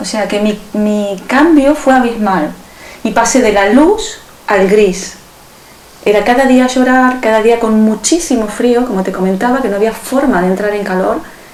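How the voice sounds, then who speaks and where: Fairly slow and fairly high, a woman's voice with ordinary pitch variation comes through noticeable background noise and audible room echo. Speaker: self-healing method teacher. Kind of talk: interview.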